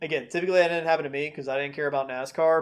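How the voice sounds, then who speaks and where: With a Southern US accent, the speaker uses ordinary pitch variation. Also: man. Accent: Southern US accent noticeable. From North Carolina (Concord, near Charlotte). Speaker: pastor. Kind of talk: video commentary / Bible teaching. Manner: casual, conversational.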